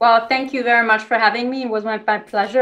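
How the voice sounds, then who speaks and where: Speaking at a very fast pace, a woman with a German accent has a fairly high pitch. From Germany. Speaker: defense policy expert; guest. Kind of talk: interview. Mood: polite, friendly. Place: home room. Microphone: video call.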